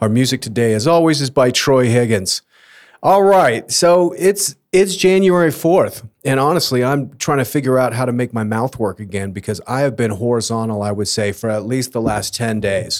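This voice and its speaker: An unremarkable speaking voice from a man at medium pitch, moderate pace and lively intonation. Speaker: podcast host. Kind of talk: casual chat.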